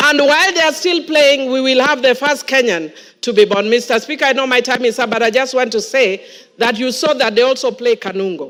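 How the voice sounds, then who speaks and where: The voice moves at a fairly quick pace, with lively intonation and an animated tone. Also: woman, high pitch for a woman. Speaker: member of parliament. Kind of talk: parliamentary speech. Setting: parliament chamber.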